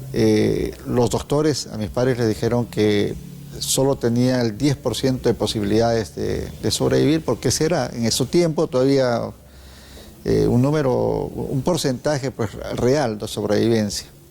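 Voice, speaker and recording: A man of medium pitch uses lively intonation and a fairly slow pace in an unremarkable speaking voice. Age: 60s. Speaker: TV host. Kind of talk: TV interview.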